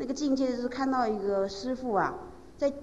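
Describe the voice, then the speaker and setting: A high-pitched woman's voice with very wide pitch swings and noticeable background noise. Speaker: interpreter or assistant relaying testimonies. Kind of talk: storytelling testimony.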